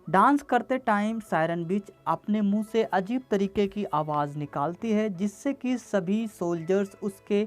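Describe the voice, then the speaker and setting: A woman's medium-pitched voice with ordinary pitch variation, over music in the background. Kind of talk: film plot recap narration. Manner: casual, slangy.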